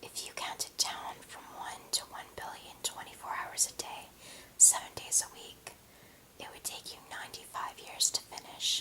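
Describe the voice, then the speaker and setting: A whisper comes through with noticeable noise in the background. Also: moderate pace. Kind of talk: ASMR whispered fact reading. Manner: whispered.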